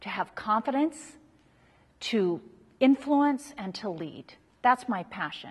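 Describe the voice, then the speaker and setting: Speaking at a very slow pace with long, frequent pauses, a woman uses a high pitch with very wide pitch swings and big swings in loudness. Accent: American. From US, Utah. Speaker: leadership researcher and lecturer. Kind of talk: workshop talk. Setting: live audience.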